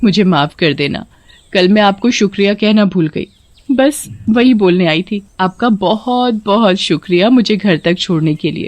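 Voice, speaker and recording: Using a put-on character voice, a woman speaks at a medium pitch. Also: moderate pace. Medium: read story. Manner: cackling laughter when unmasked.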